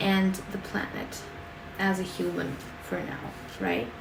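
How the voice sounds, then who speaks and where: With a non-native accent, a woman speaks over noticeable background noise, her voice carrying audible room echo. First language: not English. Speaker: tarot card reader. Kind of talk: tarot reading monologue. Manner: halting, many fillers.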